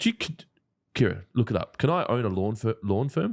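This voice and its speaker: At a very fast pace, a man with an Australian accent speaks at medium pitch with very wide pitch swings, in a dry, close sound with no echo on a very clean recording with a silent background. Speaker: lawn care business owner, live show host. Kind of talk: casual chat.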